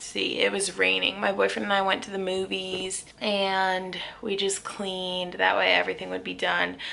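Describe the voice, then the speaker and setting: Hardly pausing, a woman speaks at a moderate pace. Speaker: teacher vlogger. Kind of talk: casual vlog monologue.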